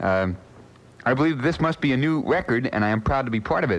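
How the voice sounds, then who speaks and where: Over noticeable background noise, a man speaks very fast at a medium pitch with lively intonation. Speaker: radio disc jockey. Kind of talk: overnight radio show banter. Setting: AM radio broadcast. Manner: relaxed, conversational.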